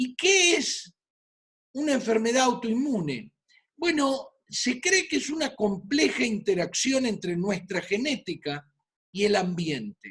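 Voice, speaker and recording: This man's voice is extremely high-pitched. He speaks at a very slow pace with very wide pitch swings. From Argentina, Buenos Aires. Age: 60s. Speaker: physician. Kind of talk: lecture.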